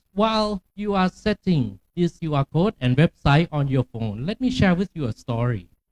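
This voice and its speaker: Using a Thai accent, a man talks in a fairly high pitch with very wide pitch swings and hardly any pauses, the sound dry and close with no echo. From Thailand, Chiang Mai. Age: 50s. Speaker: academic keynote speaker. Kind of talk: keynote lecture. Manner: deliberately slow.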